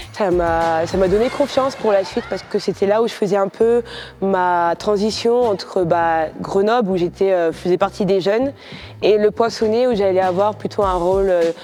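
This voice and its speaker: Over noticeable background noise, a woman speaks at a very even loudness. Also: medium pitch for a woman, ordinary pitch variation, moderate pace. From France, Poitiers. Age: 30s. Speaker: basketball player. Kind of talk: interview testimony. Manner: hesitant, many fillers.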